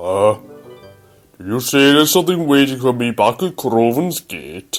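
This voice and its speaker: A man's cartoonish character voice at medium pitch and moderate pace, faint music in the background. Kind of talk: fan-made animated story dialogue.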